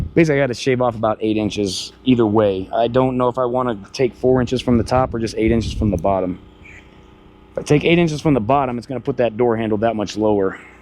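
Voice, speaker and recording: Over noticeable background noise, a man talks at a very fast pace with an American accent. His pitch is medium, with ordinary pitch variation. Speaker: off-grid DIY vlogger. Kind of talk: casual vlog narration. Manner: casual, conversational.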